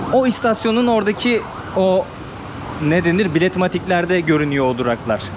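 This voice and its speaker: A man's high-pitched voice at a fairly quick pace, over noticeable background noise. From Turkey, İzmir (Buca). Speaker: travel vlogger. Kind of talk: casual travel vlog narration. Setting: outdoors and metro station in a city. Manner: conversational, chatty.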